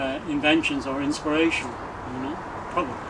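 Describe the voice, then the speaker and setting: Fairly high pitch from a man, with ordinary pitch variation, noticeable background noise and audible room echo. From Ireland, small fishing village. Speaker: retired hotel doorman and poet. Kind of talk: interview. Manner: hesitant, with many fillers.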